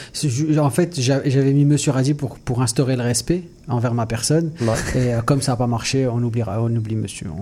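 With a dark, mellow tone, a man talks at a moderate pace in a somewhat breathy voice with ordinary pitch variation. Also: medium pitch for a man. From Mauritius. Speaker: comedian. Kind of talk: comedic radio chat. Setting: studio.

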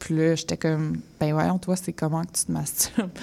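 Fairly low in pitch, a woman's voice has a dark, mellow tone. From Quebec, Laurentides suburbs (Mirabel, Saint-Janvier). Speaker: collage artist and zine maker. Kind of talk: radio interview.

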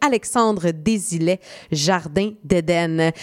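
Heard in a dry, close sound with no echo, the speaker talks with a Quebec accent. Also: woman. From Quebec, Saint-Jean-sur-Richelieu (South Shore of Montreal). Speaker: radio host. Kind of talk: radio music countdown hosting. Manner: casual, chatty with fillers.

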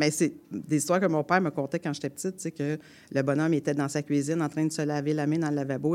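A woman with a strong Quebec accent, a very deep, low pitch and a very fast pace. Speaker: storyteller and folk singer. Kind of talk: storytelling. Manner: colloquial, animated.

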